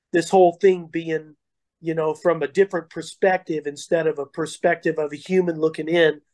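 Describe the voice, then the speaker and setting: At a fairly quick pace, a man speaks in a fairly high voice with monotone, flat intonation. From Colorado. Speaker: heavy metal vocalist. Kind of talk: interview.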